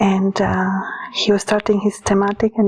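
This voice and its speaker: In a Romanian accent, a woman speaks at a fairly high pitch. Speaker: author and occult practitioner. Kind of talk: casual monologue. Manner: hesitant, many fillers.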